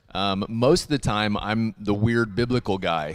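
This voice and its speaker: Music plays in the background as the speaker talks at a fairly slow pace with ordinary pitch variation. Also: man. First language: not Hebrew. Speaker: worship leader and singer. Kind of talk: casual chat. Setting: live stream. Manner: halting.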